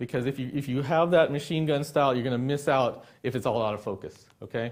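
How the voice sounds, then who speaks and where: A man at a fairly high pitch and very fast pace, on a very clean recording with a silent background. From Texas, Dallas area. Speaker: sports and wedding photographer. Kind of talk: live workshop lecture with studio audience. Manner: casual, conversational.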